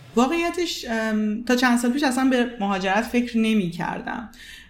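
A woman speaks at a moderate pace with ordinary pitch variation. The room echo is audible, and background noise is noticeable. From Iran. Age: 20s. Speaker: psychologist and marketing manager. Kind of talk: interview.

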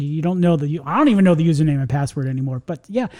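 Very fast speech in an American accent, with noticeable background noise. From New York. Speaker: podcast host. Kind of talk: casual chat. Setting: studio. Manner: fast talker.

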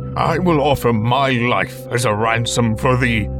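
Loud music plays in the background. A man speaks over it at a medium pitch and moderate pace. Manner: weary, pleading.

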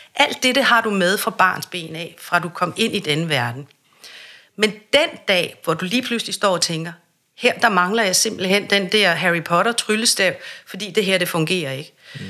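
With a bright, sharp tone, a woman speaks fairly slowly at a medium pitch. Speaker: voice and speech coach. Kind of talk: interview.

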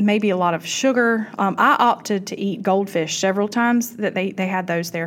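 In a Southern US accent, a woman talks at a moderate pace with a warm tone, medium pitch and ordinary pitch variation. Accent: Southern US (Georgia). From US South, South Georgia. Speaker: podcast host, cancer survivor. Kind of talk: casual talk to listeners. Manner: warm, conversational with fillers.

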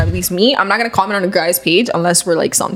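A woman talks at a very fast pace in a medium pitch, with ordinary pitch variation. Noticeable background noise sits behind her. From Miami, US. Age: 20s. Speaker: journalism graduate. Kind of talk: casual chat.

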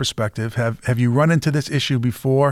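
A man with a Boston accent at a moderate pace, in a very clean recording with a silent background. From Massachusetts. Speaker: podcast host. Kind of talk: interview conversation.

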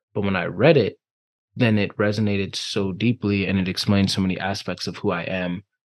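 Against a quiet background, a man with a normal speaking voice talks at a fairly quick pace, his pitch fairly low and his intonation fairly even. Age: 20s. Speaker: life and relationship coach. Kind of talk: interview.

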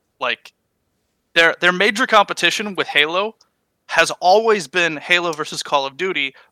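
High-pitched male voice, bright and sharp, at a moderate pace with ordinary pitch variation, on a very clean recording with a silent background and a dry, close sound with no echo. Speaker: gaming podcast co-host. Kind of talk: casual chat.

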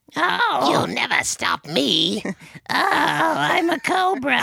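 This is a put-on character voice. It moves at a very slow pace. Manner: threatening, hissing.

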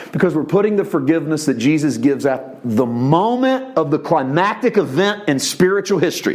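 Over noticeable background noise, a man talks at a fairly quick pace with hardly any pauses and very wide pitch swings. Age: 40s. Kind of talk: sermon. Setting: church. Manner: animated.

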